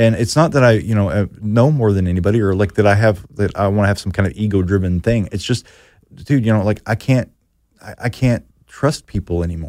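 A man with an unremarkable speaking voice, fairly low in pitch and with ordinary pitch variation, on a very clean recording with a silent background. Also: fairly quick pace. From Arkansas/Oklahoma border (Fort Smith area). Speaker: filmmaker. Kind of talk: casual chat. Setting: studio.

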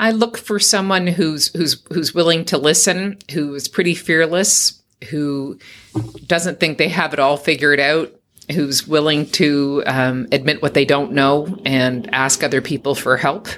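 Speaking fairly slowly in a Canadian accent, a woman has a very deep, low pitch. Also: ordinary pitch variation. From Canada, Toronto. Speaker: non-profit CEO. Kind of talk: interview.

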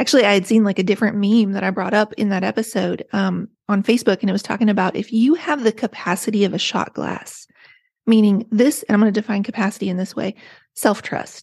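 In an American accent, a somewhat breathy speaker talks at a very fast pace with ordinary pitch variation, captured with a dry, close sound, no echo and a quiet background. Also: woman, medium pitch for a woman. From rural West Virginia. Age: 40s. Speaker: author. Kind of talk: casual interview chat.

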